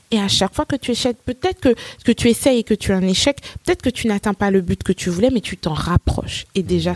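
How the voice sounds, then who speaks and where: Somewhat breathy and lively in intonation, a woman speaks at medium pitch in a dry, close sound with no echo. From Côte d'Ivoire (Nigerian family), then France from age 12. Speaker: English teacher and entrepreneur. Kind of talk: interview.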